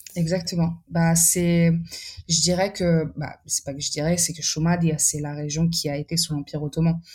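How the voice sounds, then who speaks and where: A woman's fairly low, dark, mellow voice, somewhat breathy, monotone and flat, at a moderate pace. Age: 20s. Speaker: artist with exhibitions. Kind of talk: podcast interview. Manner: halting, many repetitions and fillers.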